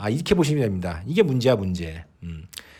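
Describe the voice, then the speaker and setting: Over a very clean recording with a silent background, a man speaks in an animated tone with very wide pitch swings. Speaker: horse racing betting commentator. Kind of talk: opinion monologue.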